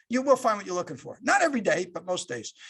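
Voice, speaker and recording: A man's high voice has a bright, sharp tone and very wide pitch swings. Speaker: corporate culture executive and leadership speaker. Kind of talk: leadership talk. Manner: fast.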